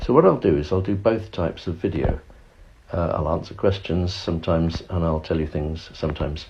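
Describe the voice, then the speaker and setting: A fairly quick pace with ordinary pitch variation. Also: man, very deep, low pitch for a man. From London area, England. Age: 70s. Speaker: retired teacher and social media creator. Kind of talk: casual direct-to-camera talk. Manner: stilted in early videos; halting, repeats words.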